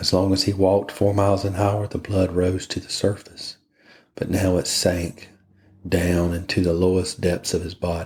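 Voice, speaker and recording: Very deep and low, a man's somewhat breathy voice holds a monotone, flat intonation on a very clean recording with a silent background. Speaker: podcast host, reader. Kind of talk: bedtime story reading. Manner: slow, monotonous.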